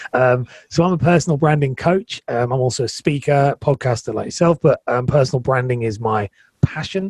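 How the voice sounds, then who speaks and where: A man's somewhat breathy voice at medium pitch, fairly quick in pace, with ordinary pitch variation and a dry, close sound with no echo. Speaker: personal branding coach. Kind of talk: interview.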